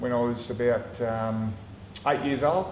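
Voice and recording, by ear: A man speaks at a fairly slow pace and a medium pitch, his intonation fairly even. His tone is slightly mellow, and audible room echo surrounds the voice.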